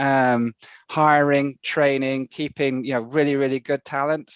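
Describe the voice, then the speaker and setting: A man with an English accent speaks at a fairly slow pace in a fairly high, monotone, flat voice. The sound is dry and close with no echo over a quiet background. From UK. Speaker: conference speaker. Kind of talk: conference presentation. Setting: video call.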